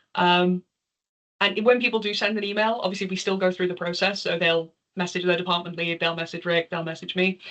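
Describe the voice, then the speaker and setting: With a slight Liverpool accent, a woman talks fairly quickly at a medium pitch, her intonation fairly even. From northern England, Liverpool. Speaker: charity volunteer and developer presenter. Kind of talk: Q&A after a talk.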